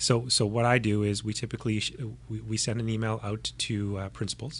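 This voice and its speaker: Somewhat breathy, with a Canadian accent, the voice holds a monotone, flat intonation. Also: man. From Canadian prairies. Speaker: podcast host. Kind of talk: interview conversation.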